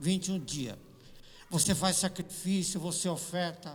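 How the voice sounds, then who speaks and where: The talking moves at a fairly slow pace, and audible room echo hangs around it. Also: man. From Brazil, São Paulo. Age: 60s. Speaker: pastor. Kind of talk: sermon. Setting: church.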